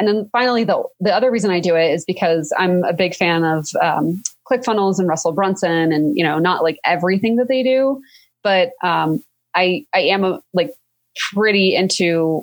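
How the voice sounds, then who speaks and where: With lively intonation, an unremarkable speaking voice keeps a moderate pace. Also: woman, medium pitch for a woman. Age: 30s. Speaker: lawyer and entrepreneur. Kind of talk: casual interview.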